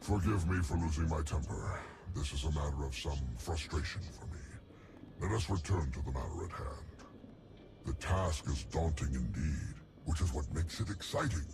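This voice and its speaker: Over loud background noise, a man puts on a character voice, his pitch very deep and low, at a moderate pace. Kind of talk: game voice acting. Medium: video game. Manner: formal, condescending, elaborate diction.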